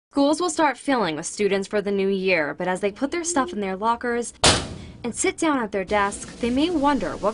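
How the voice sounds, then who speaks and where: A woman's fairly high voice with very wide pitch swings at a moderate pace, over noticeable background noise. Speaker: TV news reporter. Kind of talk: TV news reporting, stand-ups and packages.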